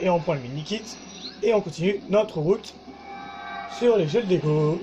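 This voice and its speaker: With noticeable background noise behind him, this man keeps a moderate pace, a high pitch and ordinary pitch variation. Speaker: gaming YouTuber. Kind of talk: let's play commentary. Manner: halting.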